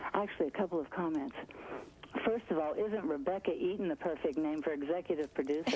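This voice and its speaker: Very fast speech at a very even loudness, with ordinary pitch variation over noticeable background noise. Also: woman, fairly low pitch for a woman. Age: 60s. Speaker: caller. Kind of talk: call-in comment. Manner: animated.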